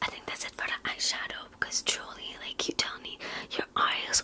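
A soft-spoken whisper. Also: woman. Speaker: makeup roleplay creator. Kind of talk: roleplay chat to viewer. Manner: soft ASMR whisper, close and intimate. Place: home room. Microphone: phone near.

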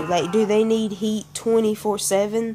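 A woman's fairly high voice with a Southern US accent, at a fairly slow pace, over noticeable background noise. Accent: Southern American. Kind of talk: casual talk to camera.

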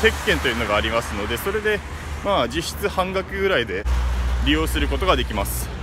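The recording of a man is dry with no echo but has noticeable background noise. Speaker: travel vlogger. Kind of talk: casual vlog commentary. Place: street. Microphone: phone near.

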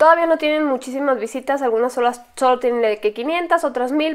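Against a quiet background, a woman speaks in an animated tone at a high pitch. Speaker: YouTuber, paranormal story channel host. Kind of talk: casual vlog commentary. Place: home room. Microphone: lapel.

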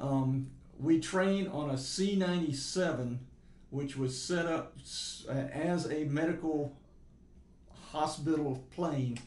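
A man talks at a fairly slow pace with fairly even intonation. Room echo is audible. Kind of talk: interview answer. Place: meeting room.

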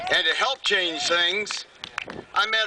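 A man with a high pitch uses a raised, projected voice at a fairly slow pace over light background noise. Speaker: rally speaker introducing next speaker. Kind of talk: rally speech and introduction. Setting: stage with audience at rally. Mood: heartfelt, admiring. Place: stage.

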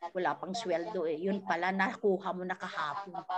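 A woman is speaking. Noticeable background noise can be heard behind her. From Philippines. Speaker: network marketing coach. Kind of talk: tutorial; online training talk. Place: home room. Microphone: video call.

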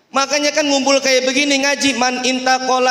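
The voice is raised and projected, with an animated tone. It moves at a moderate pace amid audible room echo. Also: man. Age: young. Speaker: religious preacher. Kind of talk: sermon. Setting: mosque with audience. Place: hall. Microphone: handheld.

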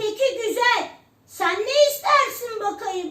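A woman's squeaky put-on character voice, extremely high in pitch, with ordinary pitch variation and a very slow pace. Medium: read story.

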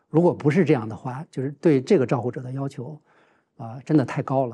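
A man speaks with a dark, mellow tone. His voice is somewhat breathy, with ordinary pitch variation. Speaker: professor. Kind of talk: roundtable discussion. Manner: halting, many filler sounds. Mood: calm, earnest, reflective. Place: studio. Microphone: lapel.

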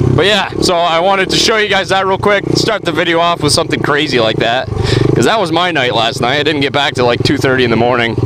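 Over loud background noise, a man speaks very fast with lively intonation and very even loudness, in a dry sound with no echo. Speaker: vlogger. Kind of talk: casual vlog. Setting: outdoors. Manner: fast talker; animated.

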